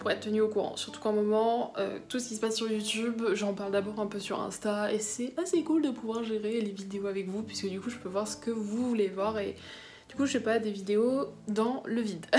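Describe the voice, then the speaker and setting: Over noticeable background noise and audible room echo, a woman speaks at a fairly high pitch and a fairly quick pace with fairly even intonation. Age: young. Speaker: book vlogger. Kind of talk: casual vlog talk. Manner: hesitant, many fillers.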